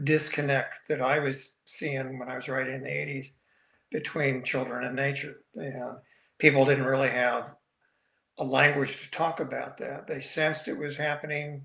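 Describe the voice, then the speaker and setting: Against a quiet background with audible room echo, a man speaks in a monotone, flat intonation. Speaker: guest. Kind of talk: interview answer. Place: home room. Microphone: video call.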